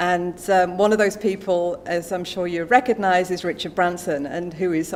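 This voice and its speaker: Amid noticeable background noise, a woman speaks at a fairly quick pace with a fairly low pitch and ordinary pitch variation. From England. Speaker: business executive. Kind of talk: speech at a book launch. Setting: stage with audience. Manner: animated.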